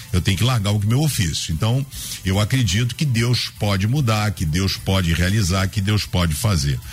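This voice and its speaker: At a moderate pace and very even loudness, a man with a fairly low voice speaks with lively intonation over noticeable background noise. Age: 50s. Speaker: pastor. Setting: radio studio.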